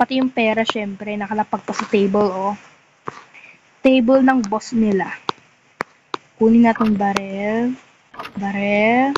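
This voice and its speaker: Soft-spoken, a woman uses a fairly high pitch and fairly even intonation. She moves at a fairly slow pace with long, frequent pauses. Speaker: gaming vlogger. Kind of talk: gameplay commentary.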